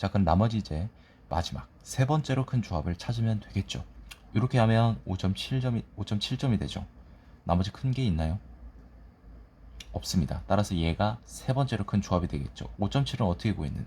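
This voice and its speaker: A man with a somewhat breathy, dark, mellow tone and fairly low pitch talks at a fairly quick pace with lively intonation. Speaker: exam prep tutor. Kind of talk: lecture. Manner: sleepy, dull.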